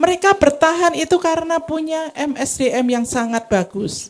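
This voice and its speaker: The delivery has lively intonation and hardly any pauses at a fairly slow pace. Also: woman. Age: old. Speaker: seminar speaker on spa management. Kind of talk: seminar lecture. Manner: interactive, addresses audience.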